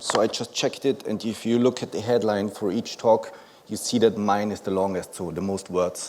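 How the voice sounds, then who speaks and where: Over noticeable background noise, a man with a German accent talks with fairly even intonation. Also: fairly low pitch for a man, moderate pace. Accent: German-speaking accent in English. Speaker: conference speaker, company founder. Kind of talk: conference presentation. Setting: stage with audience. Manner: many filler words.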